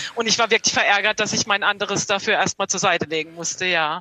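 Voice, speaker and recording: Very fast female speech at medium pitch with fairly even intonation, dry and close with no echo. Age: 40s. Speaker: podcast listener. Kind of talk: book discussion via video call. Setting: video call.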